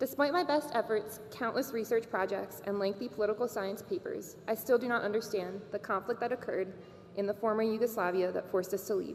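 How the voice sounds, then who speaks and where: The pace is fairly quick. Noticeable background noise runs behind the voice. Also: woman, fairly high pitch for a woman, ordinary pitch variation. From Bosnia, raised in Maryland from age 4. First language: Serbo-Croatian. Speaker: graduating student speaker. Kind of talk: commencement speech.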